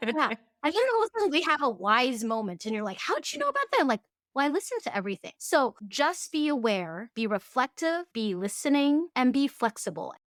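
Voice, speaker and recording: Very wide pitch swings in a Cantonese accent, a fairly quick pace, and a dry, close sound with no echo. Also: woman, high pitch for a woman. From Fairbanks, Alaska. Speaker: tea farm founder. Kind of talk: interview conversation.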